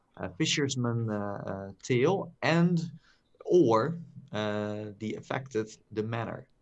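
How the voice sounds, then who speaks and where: Very slowly and with lively intonation, a man speaks in a medium pitch with a Dutch accent. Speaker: podcast co-host. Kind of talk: casual chat. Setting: live stream. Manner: halting, many fillers.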